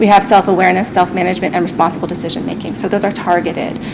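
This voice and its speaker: Against noticeable background noise, a woman speaks at a medium pitch with fairly even intonation. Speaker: school district staff presenter. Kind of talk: presentation at school committee meeting. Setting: public school committee meeting, broadcast. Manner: fast; hesitant, many fillers.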